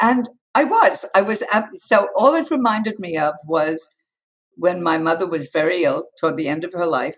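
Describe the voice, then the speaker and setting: Speaking at a moderate pace with a New York accent, a woman uses lively intonation at a medium pitch. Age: 80s+. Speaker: communications coach. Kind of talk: interview answer.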